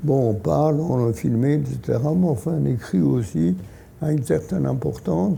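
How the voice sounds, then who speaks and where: A man with a medium-pitched voice speaks at a very slow pace, his pitch swinging very widely, while audible room echo and noticeable background noise fill the recording. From Poland, Lodz. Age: 80s+. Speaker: Holocaust survivor and author. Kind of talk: talk to an audience. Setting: hall with audience. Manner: halting.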